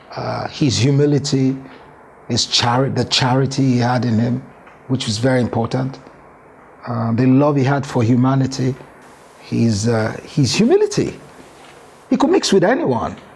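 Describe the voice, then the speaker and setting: Over noticeable background noise, a man at a medium pitch talks at a moderate pace with fairly even intonation and long, frequent pauses. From Nigeria, Yoruba southwest (Lagos, Ibadan, Abeokuta). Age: 60s. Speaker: former football administrator. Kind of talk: interview. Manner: code-switching Yoruba and English.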